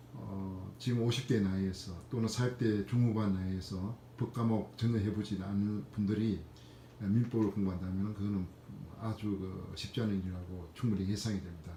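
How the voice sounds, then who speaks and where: With audible room echo, a man speaks in a somewhat breathy, dark and mellow voice at fairly low pitch, moderate pace and ordinary pitch variation. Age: 50s. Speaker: civil servant sharing exam experience. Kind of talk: personal testimony vlog. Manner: hesitant with frequent fillers.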